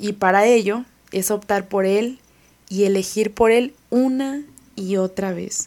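A woman with a medium-pitched voice speaks very slowly with fairly even intonation. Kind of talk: religious reflection.

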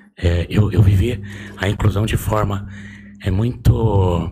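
This man speaks at a fairly low pitch with fairly even intonation. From Brazil, Osasco (São Paulo). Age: 40s. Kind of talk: casual interview.

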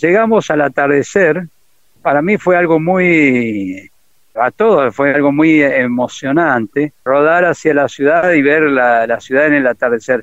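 This man has an ordinary speaking voice with fairly high pitch and ordinary pitch variation. He talks at a fairly slow pace with very even loudness. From Argentina, Corrientes province. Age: 60s. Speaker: retired army officer and war veteran. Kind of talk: interview testimony. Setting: phone call.

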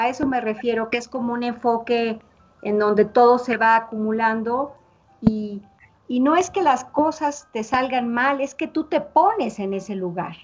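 A woman's high voice with ordinary pitch variation at a fairly slow pace, with music in the background. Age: 50s. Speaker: psychologist. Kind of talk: interview. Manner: halting.

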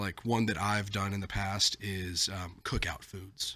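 Pitched fairly low, a man talks in a bright, sharp tone on a very clean recording with a silent background. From Mississippi (Ridgeland). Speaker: podcast co-host, youth ministry staff. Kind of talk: casual chat. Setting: studio.

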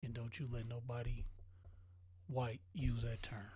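Here a man talks at a fairly slow pace in a medium pitch. His tone is dark and mellow, and somewhat breathy. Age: 40s. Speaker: podcast co-host. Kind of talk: casual chat.

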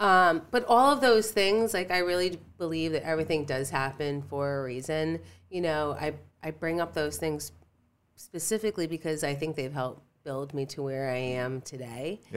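A woman with an American accent, very deep and low in pitch, lively in intonation, at a moderate pace, in a very clean recording with a silent background. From Connecticut, US. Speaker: holistic center owner. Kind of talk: casual chat.

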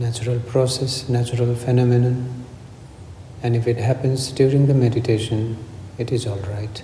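The man's intonation is monotone and flat, at a medium pitch. Noticeable background noise sits behind him. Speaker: meditation teacher. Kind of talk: guided meditation. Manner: slow, calm, soothing; gentle, instructive, unhurried.

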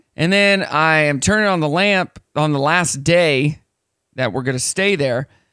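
A man with a fairly high, bright, sharp voice speaks at a fairly slow pace in an animated tone, with ordinary pitch variation and very even loudness, in a very clean recording with a silent background. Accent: American. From United States. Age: 30s. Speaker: morning radio host. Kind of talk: casual chat. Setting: studio.

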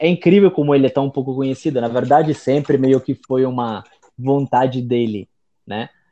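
A man talks at a moderate pace and a medium pitch. His tone is dark and mellow, and his intonation is fairly even. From Italy. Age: 20s. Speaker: Italian teacher and writer. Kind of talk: casual chat.

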